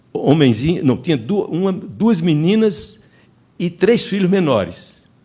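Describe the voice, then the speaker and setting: A man's high voice has a dark, mellow tone and moves at a fairly slow pace. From Northeast Brazil (Paraíba interior). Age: 80s+. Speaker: film crew member, panelist. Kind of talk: seminar talk, reminiscence. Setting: festival seminar panel. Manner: halting, many false starts.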